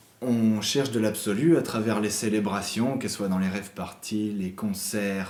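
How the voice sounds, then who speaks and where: Noticeable background noise runs behind the voice. A man speaks with ordinary pitch variation. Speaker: interviewer. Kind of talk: interview question.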